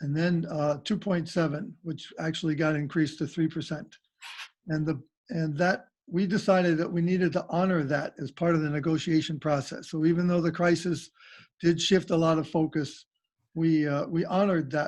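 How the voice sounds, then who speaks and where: An ordinary speaking voice from a man, fairly high in pitch, with fairly even intonation at a moderate pace. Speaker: school board member reporting on teacher contract negotiations. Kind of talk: meeting report. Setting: video call, audio only.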